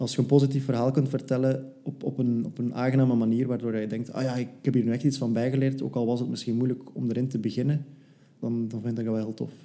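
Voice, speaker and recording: This man talks at a very fast pace in a medium pitch, his intonation monotone and flat. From Belgium, West Flanders. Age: 20s. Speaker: PR consultant. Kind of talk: interview.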